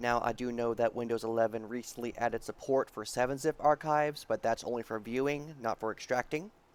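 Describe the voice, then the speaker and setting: A man speaks quietly at a medium pitch and a fairly quick pace, with hardly any pauses. His intonation stays fairly even. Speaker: programming tutorial youtuber. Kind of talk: tutorial.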